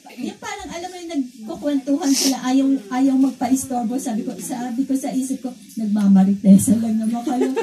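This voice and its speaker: A woman's high-pitched voice at a fairly quick pace, ordinary pitch variation, noticeable background noise. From Philippines, Cavite. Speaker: church visitor giving testimony. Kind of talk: testimony. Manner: halting.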